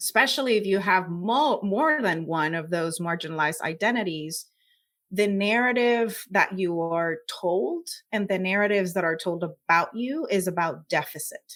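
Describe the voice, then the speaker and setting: A woman at a medium pitch, moderate pace, in a very clean recording with a silent background. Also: lively intonation. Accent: Puerto Rican. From Puerto Rico. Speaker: scientist. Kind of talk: interview.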